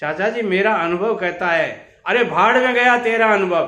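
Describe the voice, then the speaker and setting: A man's raised, projected voice, high-pitched with a bright, sharp tone, in audible room echo. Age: 70s. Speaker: business advice youtuber, contractor. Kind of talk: storytelling monologue.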